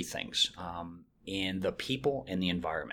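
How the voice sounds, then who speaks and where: On a very clean recording with a silent background, a man with an American accent speaks at a fairly slow pace with lively intonation. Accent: slight, fading Boston. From Boston area, US. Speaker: business executive. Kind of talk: interview.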